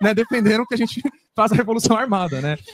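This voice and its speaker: A man's very fast, high-pitched voice with lively intonation, dry and close with no echo. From Brazil, grew up poor in a favela. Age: 20s. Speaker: university student and activist on a panel. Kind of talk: panel discussion answer. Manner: informal, slangy.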